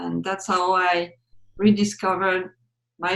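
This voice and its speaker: Her intonation monotone and flat, a woman with a French accent speaks at a fairly low pitch. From France (Reims, Champagne). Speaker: wine sensory evaluation expert. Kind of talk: interview.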